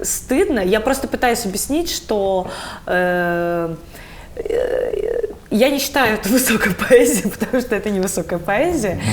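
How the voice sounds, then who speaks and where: A woman talks at a fairly slow pace with a fairly high pitch. Her intonation is lively. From Buryatia, Ulan-Ude. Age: 30s. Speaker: theatre director. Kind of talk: interview conversation. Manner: halting, many filler sounds.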